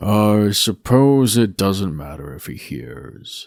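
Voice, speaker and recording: A man performs a put-on character voice at a very slow pace. His pitch swings very widely. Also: fairly low pitch for a man. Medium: read story. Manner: cold, curt, commanding.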